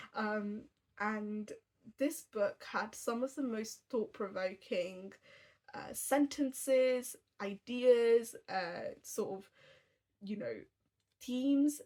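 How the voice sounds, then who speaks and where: A woman talks at a very slow pace with long, frequent pauses and big swings in loudness. Her fairly high voice has a dark, mellow tone and ordinary pitch variation. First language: Tamil. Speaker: book reviewer. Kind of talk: casual book review vlog. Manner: chatty, many fillers.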